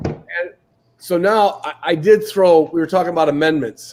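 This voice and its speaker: This is a man with a fairly high voice and fairly even intonation. He has an ordinary speaking voice. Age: 60s. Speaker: podcast host. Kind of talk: casual chat.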